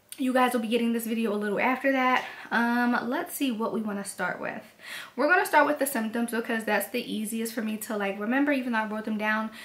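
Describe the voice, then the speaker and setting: A woman speaks with fairly high pitch and fairly even intonation. Noticeable background noise runs underneath. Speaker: vlogger. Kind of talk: casual vlog update. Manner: heavy breathing.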